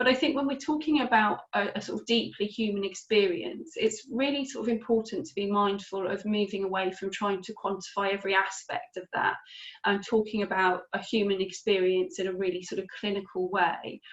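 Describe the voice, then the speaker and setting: At a fairly quick pace with hardly any pauses, a woman speaks in a medium pitch with ordinary pitch variation. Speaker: webinar presenter on mental health services. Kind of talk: webinar presentation. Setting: video call webinar. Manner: fast.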